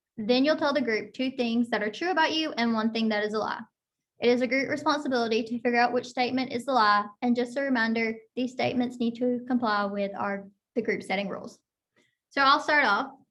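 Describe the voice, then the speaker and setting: A woman with an American accent talks at a high pitch with ordinary pitch variation. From Florida, small town. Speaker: occupational therapy student. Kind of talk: scripted group session presentation.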